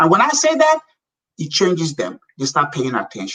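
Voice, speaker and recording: A man with a Nigerian accent speaks in an animated tone. His pitch swings very widely. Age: 60s. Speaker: businessman. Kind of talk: interview.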